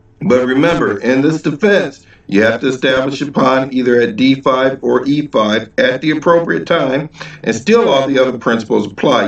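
Audible room echo around a man's moderately paced speech. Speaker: chess teacher. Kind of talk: tutorial. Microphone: webcam.

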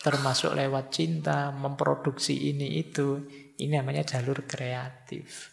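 Speaking very slowly at a fairly high pitch, a man keeps his intonation fairly even. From Indonesia. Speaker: Islamic philosophy lecturer. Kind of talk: lecture. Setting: mosque lecture with microphone. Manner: formal. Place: hall.

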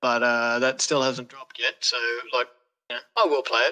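A man with an Australian accent talks at a moderate pace. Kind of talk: casual chat. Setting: video call.

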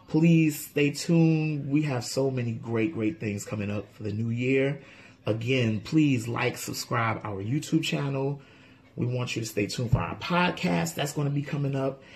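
With noticeable noise behind him, this man keeps a moderate pace. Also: medium pitch for a man, ordinary pitch variation. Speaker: food YouTube channel co-host. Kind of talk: casual thank-you message to viewers. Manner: excitable.

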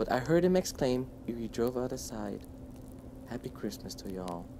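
With noticeable background noise behind him, a man with a fairly low pitch and a dark, mellow tone talks at a moderate pace, showing vocal fry and very wide pitch swings. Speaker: channel host reading a poem aloud. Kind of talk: poetry reading. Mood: warm, lively storytelling.

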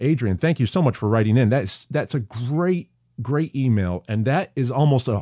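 With an upstate New York accent, a man talks fairly quickly at medium pitch, his dark, mellow tone carrying lively intonation. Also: dry, close sound with no echo, very clean recording, silent background. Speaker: podcast host. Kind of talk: casual podcast monologue.

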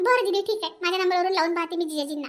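In a cartoonish character voice pitched extremely high, a woman speaks at a fairly quick pace. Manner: chatty, insistent.

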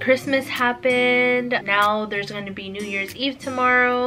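Faint music plays behind a woman whose pitch varies in an ordinary way. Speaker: vlogger. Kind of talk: casual vlog chat. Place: home room. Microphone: camera far.

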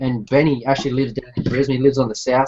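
Over noticeable background noise, a man talks at a very fast pace. His tone is dark and mellow, his intonation monotone and flat. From Australia. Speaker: scale model builder, live stream host; live stream host. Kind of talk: casual chat. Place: home room. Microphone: webcam.

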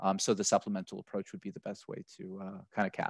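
The man has an American accent and talks at a very fast pace. His sound is dry with no echo over a quiet background. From United States. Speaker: accessibility software partner manager; panelist. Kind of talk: panel webinar discussion. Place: home room. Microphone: headset.

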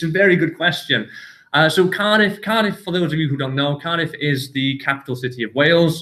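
A man's fairly high, bright, sharp voice with a northern English accent, at a fairly quick pace. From northern England. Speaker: university international office staff. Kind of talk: live Q&A session. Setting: sports facility, filmed live. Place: meeting room. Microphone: webcam.

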